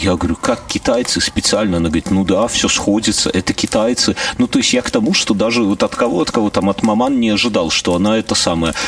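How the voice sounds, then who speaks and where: Very even loudness, a very fast pace, and noticeable background noise. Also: man. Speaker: podcast host. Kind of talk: casual chat. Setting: video call.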